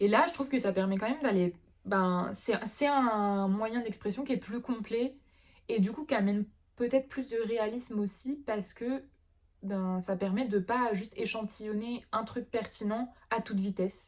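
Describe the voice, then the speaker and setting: A woman with a fairly high pitch speaks fairly slowly and somewhat breathily, with ordinary pitch variation. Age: 20s. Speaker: illustrator. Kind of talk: casual talk to camera.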